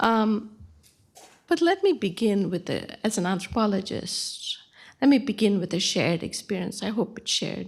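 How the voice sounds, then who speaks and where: On a very clean recording with a silent background, a woman speaks at a moderate pace. Her voice is somewhat breathy and fairly high, with ordinary pitch variation. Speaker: anthropologist. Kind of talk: panel talk.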